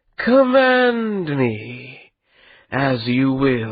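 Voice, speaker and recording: A man puts on a character voice at a medium pitch. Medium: read story. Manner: languid, mocking.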